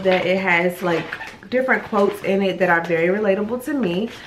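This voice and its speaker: A quiet woman at medium pitch speaks with ordinary pitch variation, amid noticeable background noise and audible room echo. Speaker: vlogger. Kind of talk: casual vlog. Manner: quiet, lowered voice.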